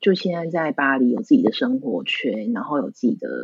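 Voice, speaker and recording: A woman's fairly low pitch with vocal fry, very wide pitch swings and a moderate pace. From Taiwan. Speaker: florist. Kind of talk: interview.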